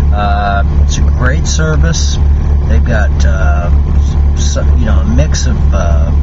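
The speech is very slow. Loud background noise runs underneath it. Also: man. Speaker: truck driver vlogger. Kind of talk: casual vlog chat, sponsor read. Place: car.

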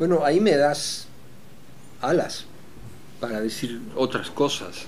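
This man speaks at a very slow pace with lively intonation and a fairly high pitch. Light background noise can be heard. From Bolivia, La Paz. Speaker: composer and orchestra director; interviewee. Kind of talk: reflective interview; interview answer. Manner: halting with frequent fillers and repetitions. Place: home room.

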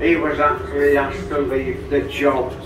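A man's voice comes through noticeable background noise, with audible echo from the room. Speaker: boat tour guide. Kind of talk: guided tour commentary. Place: tunnel cave.

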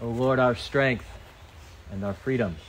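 A man is speaking. Background noise is noticeable. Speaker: priest preaching to camp. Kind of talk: sermon to children at a church camp.

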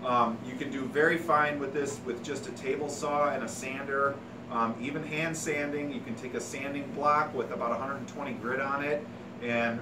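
A man keeps his intonation fairly even and his pace moderate while noticeable background noise sounds behind him. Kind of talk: tutorial. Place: workshop. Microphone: camera far.

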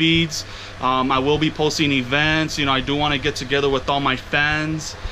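Against light background noise, a man speaks at a moderate pace with monotone, flat intonation. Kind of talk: casual vlog chat. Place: home room. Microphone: phone near.

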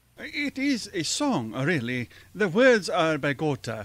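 A man speaks slowly in a put-on character voice, fairly high-pitched and fairly bright in tone, with very wide pitch swings.

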